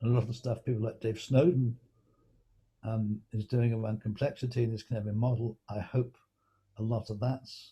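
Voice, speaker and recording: A man's medium-pitched, somewhat breathy voice with an English accent and a dark, mellow tone, at a moderate pace with fairly even intonation and long, frequent pauses. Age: 70s. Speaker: knowledge management consultant. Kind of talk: interview. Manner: halting.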